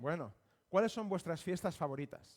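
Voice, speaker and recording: With a Spanish accent, a man speaks at a fairly slow pace using lively intonation. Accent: Spanish (Spain). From Spain, Barcelona. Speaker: missionary preacher. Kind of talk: sermon. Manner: halting.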